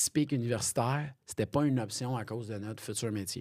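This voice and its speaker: The recording is very clean, with a silent background. A man with a dark, mellow tone talks fairly quickly at medium pitch, with ordinary pitch variation. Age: 30s. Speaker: police officer and comedian. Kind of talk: casual interview chat. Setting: podcast studio.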